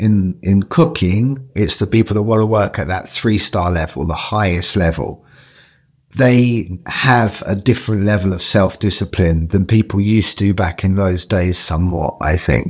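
With a London accent, a man speaks at a moderate pace in a fairly low pitch with ordinary pitch variation, in a very clean recording with a silent background. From Southeast London. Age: 40s. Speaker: chef. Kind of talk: interview conversation.

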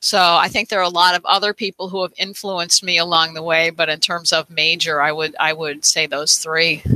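The voice carries an American accent and a bright, sharp tone, moving at a fairly quick pace with hardly any pauses. Intonation stays fairly even, and the sound is dry and close with no echo. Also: woman, fairly low pitch for a woman. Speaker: fiber artist, quilting teacher and author. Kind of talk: casual interview.

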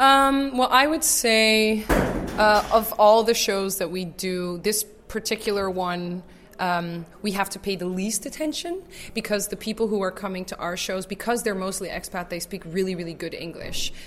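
With an American accent, a woman speaks in a plain, everyday voice at medium pitch, with ordinary pitch variation and a moderate pace. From Netherlands, raised in the US. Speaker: improv actor. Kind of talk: interview.

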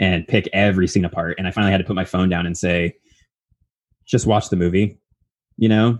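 A man's very deep, low voice at a fairly quick pace, broken by long, frequent pauses. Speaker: podcast co-host and editor. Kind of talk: casual interview chat. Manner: upbeat, rising intonation.

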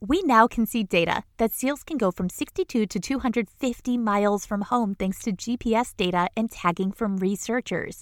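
With hardly any pauses, a woman speaks at a moderate pace and ordinary pitch variation, in a dry, close sound with no echo on a very clean recording with a silent background. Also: fairly high pitch for a woman. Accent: American. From mid-coast Maine, US. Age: 40s. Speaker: podcast host. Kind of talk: casual infotainment narration. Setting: small home studio closet. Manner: animated.

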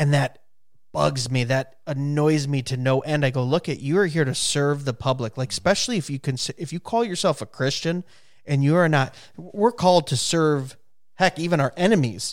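Recorded very cleanly against a silent background, a man with an unremarkable speaking voice talks at a moderate pace, his pitch fairly high with ordinary variation. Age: 30s. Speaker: county commissioner. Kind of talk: casual chat.

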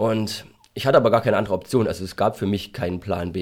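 This man has a slight Saxon accent. His intonation is fairly even. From Saxony, Germany (Freital near Dresden). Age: 30s. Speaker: pharmacist and entrepreneur. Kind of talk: interview.

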